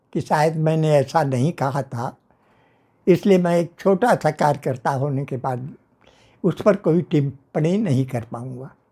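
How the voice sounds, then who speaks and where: Very slowly, a man speaks in a dark, mellow tone that is somewhat breathy, his pitch varying in an ordinary way. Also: fairly high pitch for a man, quiet background. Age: 90s. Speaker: veteran political worker. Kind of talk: interview. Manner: formal. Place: home room. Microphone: lapel.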